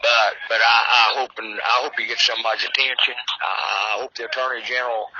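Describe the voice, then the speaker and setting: A man with an American accent at a medium pitch, fairly quick and monotone with flat intonation, over noticeable background noise. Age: 70s. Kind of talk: casual chat.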